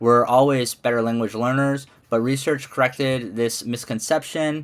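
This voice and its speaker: With a Midwestern accent, a man of medium pitch speaks at a moderate pace and fairly even intonation on a very clean recording with a silent background. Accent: American Midwest. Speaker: ESL teacher and graduate student. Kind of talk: class presentation. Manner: casual, hesitant with fillers.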